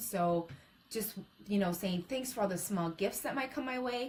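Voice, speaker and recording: Against noticeable background noise, a woman speaks at a medium pitch with lively intonation. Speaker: motivational speaker. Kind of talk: live-stream talk. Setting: live stream.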